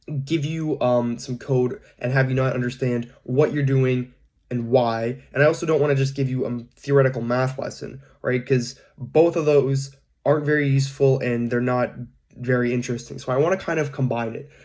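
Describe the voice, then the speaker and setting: Flat and monotone, a man's medium-pitched voice moves along at a moderate pace. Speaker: data science instructor. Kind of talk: recorded coding lecture. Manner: casual, hesitant with fillers.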